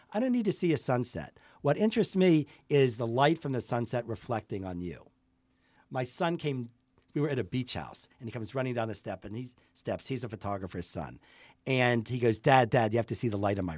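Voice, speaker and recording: An unremarkable speaking voice with an American accent, lively intonation and a fairly quick pace, on a very clean recording with a silent background. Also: man, medium pitch for a man. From US, Pittsburgh. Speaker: portrait photographer. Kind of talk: casual interview chat. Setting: in person, studio.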